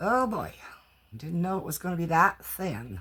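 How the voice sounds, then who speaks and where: Her speech moves somewhat slowly, a woman's voice. There is some breathiness in it. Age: 60s. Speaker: crafting YouTuber doing haul videos. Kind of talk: casual haul video talk. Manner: animated, exclamatory.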